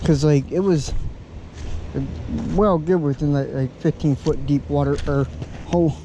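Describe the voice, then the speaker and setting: Using a Southern US accent, the man speaks at a moderate pace with fairly even intonation. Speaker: outdoor vlogger. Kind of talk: casual vlog narration. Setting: outdoors by a river.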